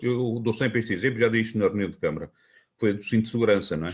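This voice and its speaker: A man with a medium pitch speaks with fairly even intonation. The recording is very clean, with a silent background. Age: 60s. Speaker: local politician and teacher. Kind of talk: interview. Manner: halting, with fillers and restarts.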